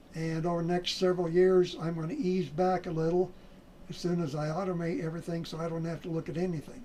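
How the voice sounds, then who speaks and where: Over noticeable background noise, someone talks at a very fast pace with fairly even intonation and an American accent. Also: man, high pitch for a man. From US Midwest (South Dakota). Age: 70s. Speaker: trading educator. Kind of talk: sales pitch. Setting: home office. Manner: halting.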